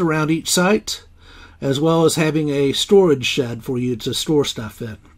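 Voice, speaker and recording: With a fairly slow pace and ordinary pitch variation, a man speaks against a quiet background. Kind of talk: casual tour commentary. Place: car. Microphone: phone near.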